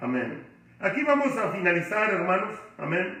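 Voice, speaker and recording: A loud man at a very slow pace with lively intonation, amid audible room echo and noticeable background noise. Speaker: pastor. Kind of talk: bible study lecture. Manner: loud, emotional.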